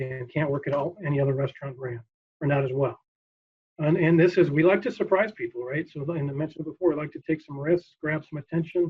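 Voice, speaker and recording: Very fast, somewhat breathy speech from a man with a fairly high pitch and ordinary pitch variation. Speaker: marketing executive. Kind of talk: keynote presentation. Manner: energetic.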